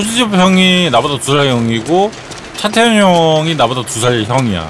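Over noticeable background noise and audible room echo, a man speaks at a fairly high pitch. He goes at a fairly slow pace with very wide pitch swings. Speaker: game streamer. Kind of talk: live gameplay commentary. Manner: animated.

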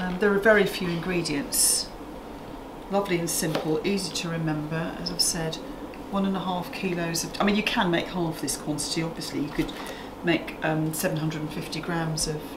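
A woman speaks with ordinary pitch variation at a moderate pace, and noticeable background noise is present. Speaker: cooking show host. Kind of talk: tutorial. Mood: warm, relaxed. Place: kitchen.

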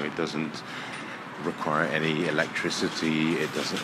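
Loud background noise fills the recording. Over it, a man talks at a moderate pace. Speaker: walking tour guide. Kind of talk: casual walking commentary. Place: tunnel cave. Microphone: phone near.

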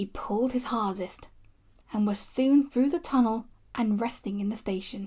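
Ordinary pitch variation in a stretch of plain reading aloud.

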